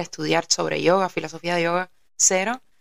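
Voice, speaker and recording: The woman's fairly low voice comes through dry and close, with no echo. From Cuba, Havana. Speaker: yoga teacher and musician. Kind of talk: casual chat.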